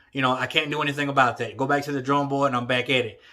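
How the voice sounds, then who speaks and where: A man with a Southern US accent, a bright, sharp and animated tone, and a fairly high pitch. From Texas. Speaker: boxing commentator YouTuber. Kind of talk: casual opinion vlog.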